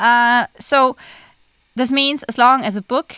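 A woman with a German accent speaks at a fairly high pitch in a bright, sharp tone with ordinary pitch variation, in a dry, close sound with no echo on a very clean recording with a silent background. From Germany. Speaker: podcast co-host, author. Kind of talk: casual chat.

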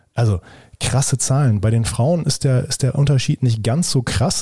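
The man's voice has a dark, mellow tone, somewhat breathy, at a medium pitch. His pitch varies in an ordinary way. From Germany. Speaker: podcast host. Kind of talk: interview. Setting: office at a university.

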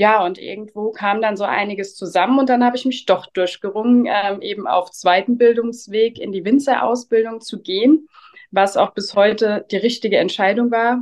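Delivery comes at a moderate speed, the pitch rising and falling in an ordinary way. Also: woman, fairly high pitch for a woman. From Rheinhessen, Germany. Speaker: winemaker. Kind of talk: interview. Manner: hesitant fillers.

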